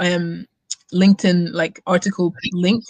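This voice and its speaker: A somewhat breathy voice, dry and close with no echo. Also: woman. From Germany and Scotland, born in Nigeria. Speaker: student community co-founder. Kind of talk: interview. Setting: live stream.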